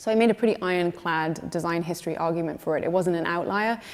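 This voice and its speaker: A woman with a British accent, a fairly low pitch and a very fast pace. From Scotland. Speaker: museum curator. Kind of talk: panel talk.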